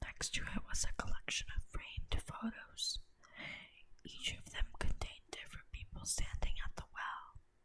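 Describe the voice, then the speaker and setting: Whispering that swings widely in loudness. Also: woman. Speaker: ASMR creator reading Reddit scary stories. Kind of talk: first-person horror story narration. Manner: whispered, slow, deliberate.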